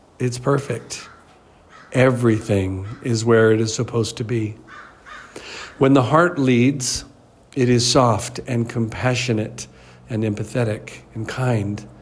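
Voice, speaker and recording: A man speaks at a medium pitch with fairly even intonation and a fairly slow pace, leaving long, frequent pauses over noticeable background noise. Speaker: life coach. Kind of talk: motivational talk.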